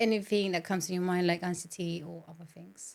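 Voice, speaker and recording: At a moderate pace, a woman with a Spanish accent speaks at a fairly low pitch in a monotone, flat intonation. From Colombia. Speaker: podcast host. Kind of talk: interview conversation.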